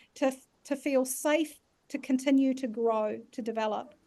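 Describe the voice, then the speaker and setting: A woman's high-pitched, dark and mellow voice with a New Zealand accent and fairly even intonation. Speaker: leadership facilitator. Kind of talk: online masterclass workshop.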